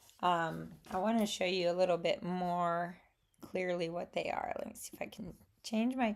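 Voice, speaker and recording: A woman with a Southern US accent speaks at a moderate pace on a very clean recording with a silent background. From Alabama, US Gulf Coast. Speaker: watercolor artist and crafter. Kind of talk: casual talk to camera. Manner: hesitant, many fillers.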